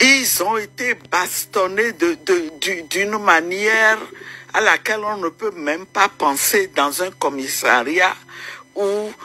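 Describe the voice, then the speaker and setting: Over music in the background, a woman speaks at a very slow pace with lively intonation. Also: medium pitch for a woman. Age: 60s. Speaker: opposition politician and women's rights activist. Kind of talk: interview. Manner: hesitant, many fillers.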